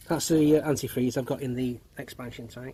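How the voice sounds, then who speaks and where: Here a man talks at a medium pitch. His voice is somewhat breathy. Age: 50s. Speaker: car enthusiast. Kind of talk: casual tutorial. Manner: halting.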